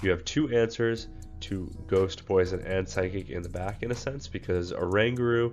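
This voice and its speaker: A man talks at a moderate pace with a fairly low pitch and ordinary pitch variation. Music plays in the background. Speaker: gaming content creator. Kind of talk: game strategy tutorial. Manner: frequent filler words.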